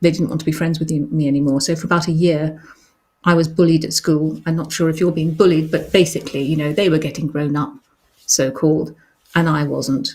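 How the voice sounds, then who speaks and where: A woman's very deep, low voice, somewhat breathy, with flat, monotone intonation and a fairly quick pace. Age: 60s. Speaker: children's author hosting a live show. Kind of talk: live stream chat, reading and answering reader questions. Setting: live online broadcast. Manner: hesitant, many ums.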